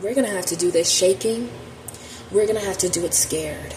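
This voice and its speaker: A woman with a medium pitch speaks in a shaky voice with fairly even intonation. There is noticeable background noise. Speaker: tarot reader. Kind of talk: spiritual monologue to camera. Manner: impassioned.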